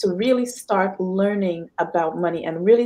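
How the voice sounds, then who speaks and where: A woman's medium-pitched voice in a Trinidadian accent. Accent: Trinidadian accent, noticeable. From Trinidad and Tobago. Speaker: financial consultant. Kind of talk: interview.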